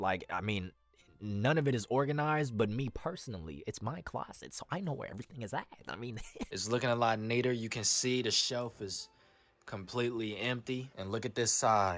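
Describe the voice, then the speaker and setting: Music plays in the background while the speaker goes at a fairly quick pace. The tone is animated, with ordinary pitch variation. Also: man. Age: 20s. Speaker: aspiring voice actor, vlogger. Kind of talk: casual vlog. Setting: home closet booth.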